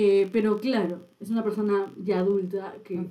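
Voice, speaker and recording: A woman talks at medium pitch and moderate pace in a dark, mellow tone. Her intonation stays flat and monotone. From Peru, Chiclayo then Lima. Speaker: podcast co-host. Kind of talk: casual chat. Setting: studio.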